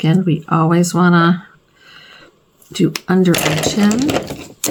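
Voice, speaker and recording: A woman talks at a very slow pace. Her pitch is fairly low, with fairly even intonation. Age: 60s. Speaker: beauty vlogger. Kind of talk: makeup tutorial. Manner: casual, chatty.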